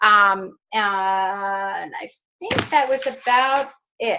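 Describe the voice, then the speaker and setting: This raised, projected voice has an American accent. Its tone is bright and sharp. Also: woman. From New York. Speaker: fitness business coach. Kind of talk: team training call.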